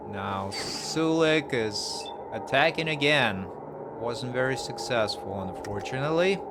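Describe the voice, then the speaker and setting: A man with a non-native accent and medium pitch talks at a fairly slow pace with lively intonation, amid noticeable background noise and audible room echo. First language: not English. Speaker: gaming youtuber. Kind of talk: let's play commentary. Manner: casual, with filler words.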